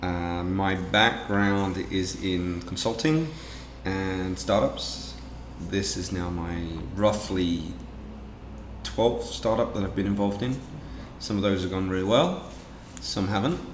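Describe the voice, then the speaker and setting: A fairly slow voice in an English accent, with ordinary pitch variation, long and frequent pauses, audible room echo and noticeable background noise. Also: man. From England. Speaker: business owner. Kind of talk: interview.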